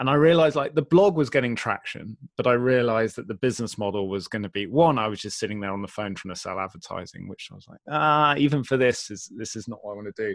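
A man with an English accent at a very fast pace, lively intonation, big swings in loudness and hardly any pauses. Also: medium pitch for a man, very clean recording, silent background. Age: 40s. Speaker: community builder and entrepreneur. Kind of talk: interview conversation.

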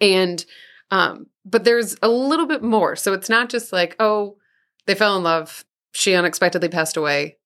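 A woman with an American accent speaks in a plain, everyday voice at medium pitch and a moderate pace. Her intonation is lively, and the recording is very clean against a silent background. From Southeast Missouri. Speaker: podcast co-host. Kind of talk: casual chat.

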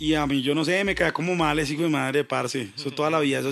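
A man speaks at a very fast pace with a fairly high pitch. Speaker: hip hop producer. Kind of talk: casual chat. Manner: animated.

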